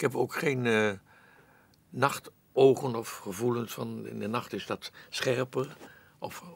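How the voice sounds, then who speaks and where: A man at a very slow pace, in dry sound with no echo. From Netherlands. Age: 80s+. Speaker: actor. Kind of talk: interview answer. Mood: reflective, musing. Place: studio.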